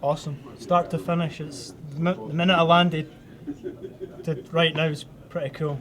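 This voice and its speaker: Amid noticeable background noise, a man with a Scottish accent talks at a moderate pace and fairly high pitch, with ordinary pitch variation and long, frequent pauses. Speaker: hockey alumni player being interviewed. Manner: casual, joking.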